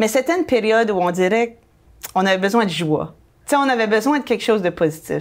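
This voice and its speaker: Her pitch is fairly high and her intonation lively. This woman speaks at a very fast pace. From New Brunswick, Canada. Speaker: real estate broker and blogger. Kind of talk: casual interview chat.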